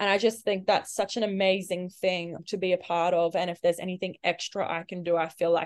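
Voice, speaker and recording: Fairly quick, flat and monotone speech from a woman with an Australian accent, medium pitch and hardly any pauses. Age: 20s. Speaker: Olympic swimmer. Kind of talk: casual interview chat.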